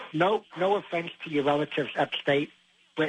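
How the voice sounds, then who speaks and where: A man with a New York accent speaks at a fairly high pitch and a moderate pace. Noticeable background noise can be heard. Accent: New York City. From Queens, New York City. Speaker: radio caller. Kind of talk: call-in conversation. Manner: animated, interrupting.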